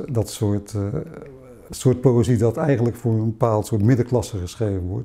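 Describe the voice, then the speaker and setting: The man's voice has a dark, mellow tone. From Zeeuws-Vlaanderen, Netherlands; Netherlands. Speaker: poet. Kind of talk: interview. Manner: halting, many hesitations. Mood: reflective, calm. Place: home room.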